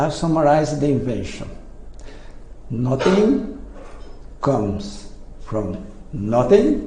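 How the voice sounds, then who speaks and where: Speaking with a non-native accent at a very slow pace, the voice makes long, frequent pauses and very wide pitch swings, amid noticeable background noise and audible room echo. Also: man. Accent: foreign. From Brazil. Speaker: inventor. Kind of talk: presentation. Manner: halting.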